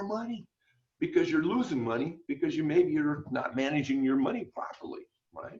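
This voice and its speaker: The intonation is lively. It comes from a man. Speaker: business coach. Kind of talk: webinar presentation. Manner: fast.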